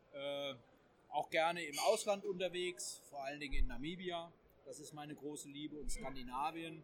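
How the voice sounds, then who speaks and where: A man with a high pitch, a moderate pace, and ordinary pitch variation. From Hesse. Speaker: magazine editor-in-chief. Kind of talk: casual discussion. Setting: trade fair.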